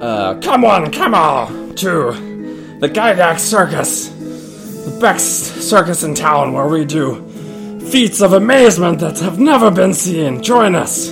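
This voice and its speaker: A put-on character voice talks at a very slow pace. Clear music plays in the background. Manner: loud, showman's hawking.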